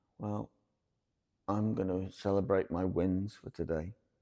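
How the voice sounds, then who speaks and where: Quiet and very slow, a man speaks with very deep, low pitch and a dark, mellow tone. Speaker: vlogger living with a chronic illness. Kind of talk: casual vlog monologue. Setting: inside an old church. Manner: quiet, hushed.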